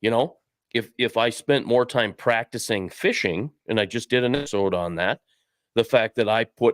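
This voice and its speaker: The recording is very clean, with a silent background and a dry, close sound free of echo. A man speaks at a moderate pace and medium pitch, with ordinary pitch variation. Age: 60s. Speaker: fishing podcast co-host. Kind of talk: casual chat. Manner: animated.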